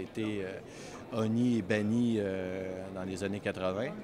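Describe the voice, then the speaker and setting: In a Canadian French accent, a man talks at a fairly slow pace in a monotone with flat intonation. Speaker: wine import agency president. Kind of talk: interview answer. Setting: trade fair.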